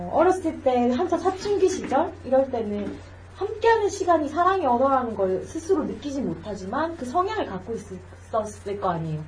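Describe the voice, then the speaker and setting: A woman with a high voice swings very widely in pitch at a moderate pace, with noticeable background noise behind her. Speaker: podcast host. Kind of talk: casual chat.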